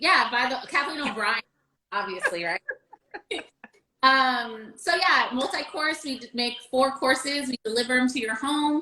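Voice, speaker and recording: A woman's raised, projected voice, high-pitched, with lively intonation at a fairly slow pace. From New England, New Hampshire. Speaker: chef. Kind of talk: casual chat.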